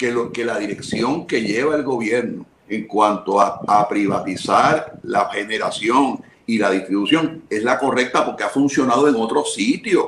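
Noticeable background noise sits behind a man speaking at medium pitch and a fairly slow pace. His pitch varies in an ordinary way. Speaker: government official. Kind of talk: radio interview.

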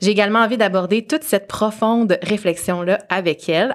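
A woman talks at a fairly quick pace in a medium pitch. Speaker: podcast host, marketing strategist. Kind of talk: casual interview; scripted intro. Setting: studio.

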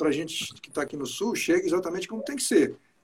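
A man with lively intonation. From Espírito Santo, Brazil. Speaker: musician and live-stream host. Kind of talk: casual interview on an Instagram live. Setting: video call. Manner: animated.

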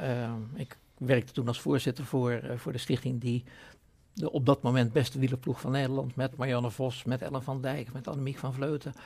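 Fairly quick in pace, a man talks at a medium pitch. His voice is somewhat breathy. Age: 70s. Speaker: foundation chairman. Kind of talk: podcast interview.

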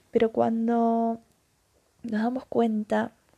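The woman's voice has a dark, mellow tone. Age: 20s. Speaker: podcast host. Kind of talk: personal reflection monologue. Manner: hesitant, many fillers.

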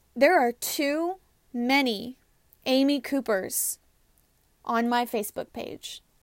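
Over a silent background on a very clean recording, a woman talks at a very slow pace in a high pitch, leaving long, frequent pauses. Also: ordinary pitch variation. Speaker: podcast host. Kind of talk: personal monologue. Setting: recorded in a closet. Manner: earnest.

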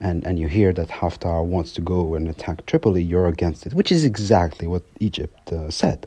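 A man with a very deep, low voice speaks at a moderate pace, his intonation fairly even. His tone is dark and mellow, somewhat breathy. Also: hardly any pauses. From France. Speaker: research fellow on Libya. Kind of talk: interview. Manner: halting, many fillers.

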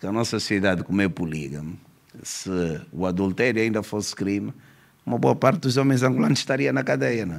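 Very deep, low male voice with very wide pitch swings at a fairly quick pace. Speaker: police commissioner, law professor and author. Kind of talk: podcast interview.

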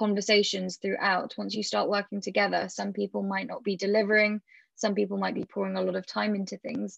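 A British accent at a fairly quick pace, in a dry, close sound with no echo and a quiet background. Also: woman. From Britain. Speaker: startup founder. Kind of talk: interview.

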